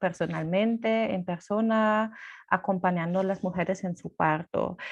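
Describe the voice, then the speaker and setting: Against a quiet background, a woman talks at a medium pitch with a non-native accent. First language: not Spanish (speaking Spanish). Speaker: birth rights activist, doula. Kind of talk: presentation. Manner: halting, many fillers.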